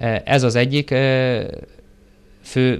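Speaking at medium pitch, the man keeps a monotone, flat intonation. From Hungary, Karcag (Great Plain); Hungary. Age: 30s. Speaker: police chief; interviewee. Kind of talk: TV interview. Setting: studio. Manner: formal, with hesitations. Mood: calm, formal. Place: studio. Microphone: lapel.

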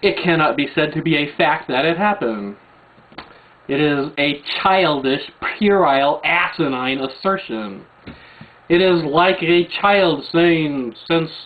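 Keeping his loudness very even, a man speaks with ordinary pitch variation. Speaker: video blogger. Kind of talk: rebuttal rant to camera. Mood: angry, mocking. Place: home room. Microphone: webcam.

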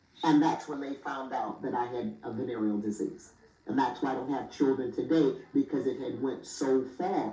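Against noticeable background noise, a woman talks at a moderate pace with a very deep, low pitch and fairly even intonation. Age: 60s. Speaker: author. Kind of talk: testimony.

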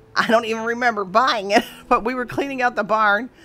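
Faint music plays in the background while the speaker talks at a fairly quick pace. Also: woman. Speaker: antique booth vendor. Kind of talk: casual vlog chat. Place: shop. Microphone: phone near.

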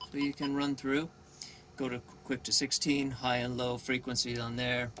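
A fairly slow, monotone, flat delivery over noticeable background noise. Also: man. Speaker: sailing vlogger. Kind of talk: tutorial. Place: boat. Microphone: lapel.

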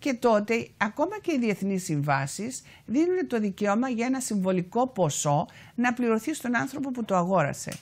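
With a Cypriot accent, a woman talks at a fairly slow pace while her pitch swings very widely. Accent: Cypriot Greek. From Cyprus, Famagusta; Cyprus. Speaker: activist and author; guest. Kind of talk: TV interview. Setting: TV studio. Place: studio. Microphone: lapel.

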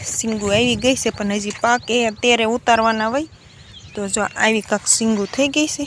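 A woman's fairly high voice with fairly even intonation against noticeable background noise. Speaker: village vlogger. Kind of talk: vlog narration. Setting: outdoors on farm.

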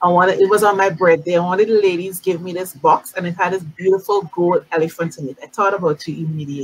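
Speech races at a very fast pace with hardly any pauses. The tone is animated, with big swings in loudness. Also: woman, fairly low pitch for a woman. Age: 50s. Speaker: beauty industry talk show host; show host. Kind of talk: casual interview. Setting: live-streamed video call. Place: home room. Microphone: webcam.

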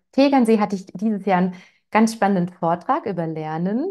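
The background is quiet. A woman with a dark, mellow tone speaks at a moderate pace. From Swabia, Germany (Ravensburg area, Lake Constance); Swabia. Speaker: parenting educator; parenting coach hosting webinar. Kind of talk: webinar, casual welcome chat. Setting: live online webinar. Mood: warm, cheerful. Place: home room. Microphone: lapel.

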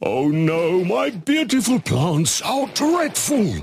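A man performs a cartoonish character voice. It is high in pitch. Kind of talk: animated comedy cartoon voice. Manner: dramatic, indignant, easily offended.

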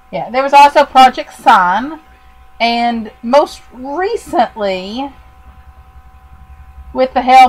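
The speech is very slow, with lively intonation over noticeable background noise. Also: woman. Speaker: podcast host. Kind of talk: casual chat.

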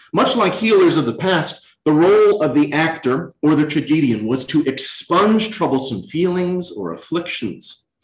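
Against a quiet background with audible room echo, a man with an American accent and a fairly high pitch talks at a moderate pace with lively intonation and hardly any pauses. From Virginia (Lynchburg); Virginia. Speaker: chief resident physician, former actor; former actor. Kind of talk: lecture. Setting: hospital auditorium, in person and streamed. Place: hall.

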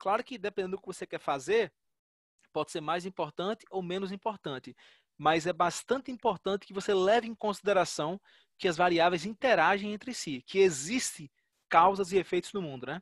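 A man talks at a high pitch and a moderate pace with ordinary pitch variation. The sound is dry with no echo over a quiet background. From Natal, Rio Grande do Norte, Brazil; Rio Grande do Norte, Brazil. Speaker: data science researcher; guest. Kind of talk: lecture. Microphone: video call.

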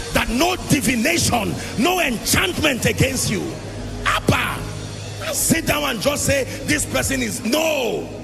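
A man shouts over clear background music, leaving long, frequent pauses. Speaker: preacher. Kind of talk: sermon. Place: church. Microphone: handheld.

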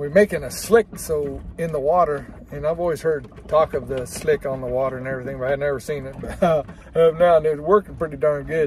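A man talks at a fairly quick pace over light background noise. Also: dry sound with no echo. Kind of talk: casual vlog chat. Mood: relaxed, wry. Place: boat. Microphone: phone near.

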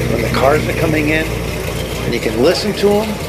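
A man's voice against loud background noise. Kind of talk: casual vlog commentary. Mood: enthusiastic, admiring. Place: street. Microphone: phone near.

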